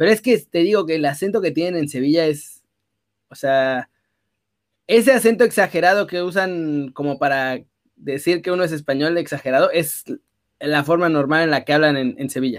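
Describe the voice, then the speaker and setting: At a moderate pace and with ordinary pitch variation, a man speaks in a very clean recording with a silent background. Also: fairly high pitch for a man. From northern Mexico, Saltillo roots. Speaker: sports streamer. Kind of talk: casual chat. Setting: live stream.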